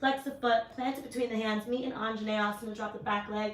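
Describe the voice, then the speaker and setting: A loud woman at a fairly quick pace, with ordinary pitch variation, over noticeable background noise. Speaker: yoga instructor. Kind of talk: guided yoga class. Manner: projecting voice louder. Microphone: mic died, no microphone, may be hard to hear.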